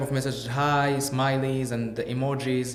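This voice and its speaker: Audible room echo surrounds a man's voice. He talks at a medium pitch with fairly even intonation. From Morocco, Casablanca. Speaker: podcast guest. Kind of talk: casual interview chat. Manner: halting.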